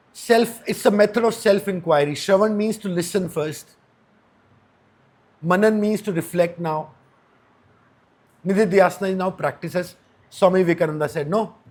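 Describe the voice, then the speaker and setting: A man's high-pitched voice at a moderate pace, with ordinary pitch variation, long and frequent pauses, and a very clean recording over a silent background. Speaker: spiritual teacher. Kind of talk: lecture.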